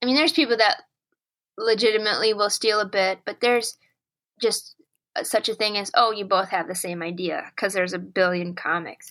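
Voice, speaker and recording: A woman with a Minnesota accent talks at a fairly quick pace, her tone bright and sharp and her intonation lively. The recording is very clean, with a silent background. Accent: Duluth Minnesota. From northern Wisconsin, near Duluth. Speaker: comedian and clarinetist. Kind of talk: interview. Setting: call.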